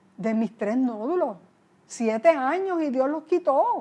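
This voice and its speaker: A woman's high-pitched yet dark, mellow voice moves at a fairly slow pace with lively intonation. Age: 60s. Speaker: pastor. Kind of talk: interview. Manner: conversational.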